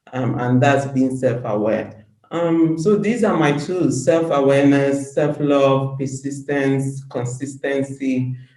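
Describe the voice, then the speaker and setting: A woman speaks very slowly in a very deep, low voice with a dark, mellow tone and ordinary pitch variation. She leaves hardly any pauses, and room echo is audible. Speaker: women's empowerment advocate. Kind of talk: interview.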